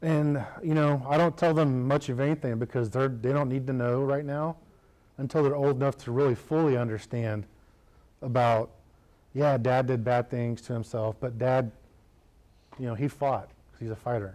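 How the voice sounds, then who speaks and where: With long, frequent pauses and big swings in loudness, a man with an American accent talks at a moderate pace in a medium pitch and a dark, mellow tone. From United States. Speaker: combat wounded war veteran speaker. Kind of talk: public speech with Q&A. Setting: chamber of commerce meeting, live audience. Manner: casual, conversational.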